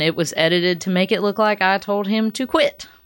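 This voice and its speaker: A woman speaks at a moderate pace and medium pitch in an ordinary speaking voice. The recording is very clean, with a silent background. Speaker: singer-songwriter. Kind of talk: casual chat.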